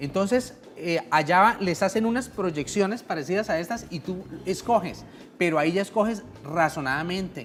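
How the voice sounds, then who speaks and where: A woman with an ordinary speaking voice speaks at a moderate pace in a fairly low pitch, her intonation lively. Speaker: pension lawyer. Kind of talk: radio legal advice segment.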